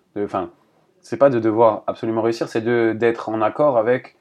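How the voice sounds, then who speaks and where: A man with a medium-pitched voice talks over a quiet background. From Paris region, France. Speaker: volleyball coach. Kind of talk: casual chat. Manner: halting.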